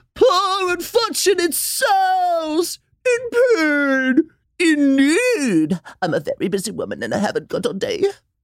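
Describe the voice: The pitch of this put-on character voice is extremely high. Its delivery is fairly slow.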